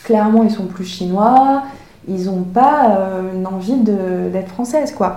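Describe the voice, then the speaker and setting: A woman of medium pitch speaks very slowly with ordinary pitch variation. Audible room echo and noticeable background noise run through the clip. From France (Paris), from age 6. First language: Chinese (speaking French). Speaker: author and illustrator, former engineer. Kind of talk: interview conversation.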